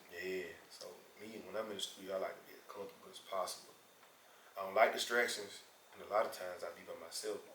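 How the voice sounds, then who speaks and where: Talking at a very fast pace, a man swings widely in loudness while room echo is audible. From Memphis, Tennessee. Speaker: rapper. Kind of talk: interview.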